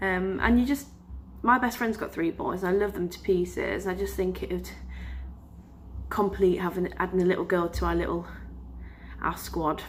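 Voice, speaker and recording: At a moderate pace with long, frequent pauses, the voice carries an English accent. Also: woman. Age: 20s. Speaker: vlogger. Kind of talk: casual vlog talk. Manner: hesitant, many filler sounds.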